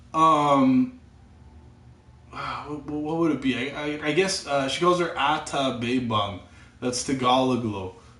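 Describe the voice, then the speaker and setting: Pausing long and often, a man speaks very slowly at a fairly high pitch with ordinary pitch variation and audible room echo. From Canada. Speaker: gamer streaming live chat. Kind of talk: casual chat. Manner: halting, repeats words.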